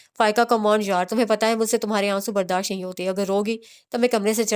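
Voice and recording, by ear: The speaker is reading aloud in a natural voice. Intonation is fairly even throughout.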